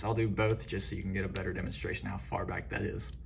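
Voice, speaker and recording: Audible room echo surrounds a man whose fairly low voice has vocal fry. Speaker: toy figure reviewer. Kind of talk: product review tutorial. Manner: hesitant fillers; shaky, excited voice.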